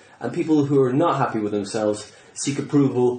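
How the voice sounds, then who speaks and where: A man's voice against noticeable background noise. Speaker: comedian. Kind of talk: casual conversation.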